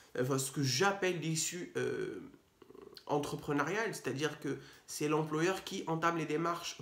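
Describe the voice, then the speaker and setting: A man speaks in a fairly high voice, with audible room echo and noticeable background noise. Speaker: legal advice youtuber. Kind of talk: explainer video. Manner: fast; hesitant, many fillers.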